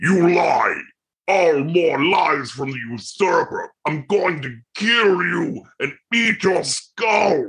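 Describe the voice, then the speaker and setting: A put-on character voice at a middle pitch unfolds at a very slow pace. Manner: snarling, furious.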